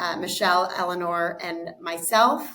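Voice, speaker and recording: A woman with an American accent and a bright, sharp tone speaks at a fairly slow pace amid audible room echo. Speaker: investment fund co-founder. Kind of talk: interview.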